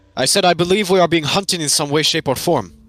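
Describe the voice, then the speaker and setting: Putting on a character voice, a man talks at a very fast pace in a high pitch. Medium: actual play. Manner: formal, stilted.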